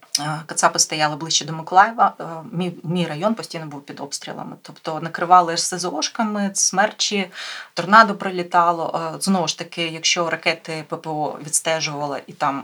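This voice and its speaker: A woman with an ordinary speaking voice and a fairly low pitch talks at a moderate pace, her intonation fairly even but her loudness swinging widely. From Ukraine, Mykolaiv. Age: 30s. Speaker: volunteer and fitness coach. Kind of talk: interview.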